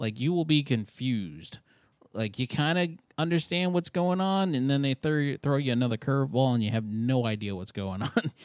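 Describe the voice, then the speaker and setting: An unremarkable speaking voice from a man with an American accent, medium in pitch, with lively intonation at a moderate pace. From New York. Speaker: podcast co-host. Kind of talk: casual chat.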